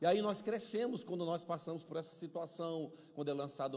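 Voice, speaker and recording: With audible room echo in the background, a man speaks at a fairly quick pace in an animated tone with lively intonation. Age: middle-aged. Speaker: pastor. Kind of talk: sermon. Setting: church.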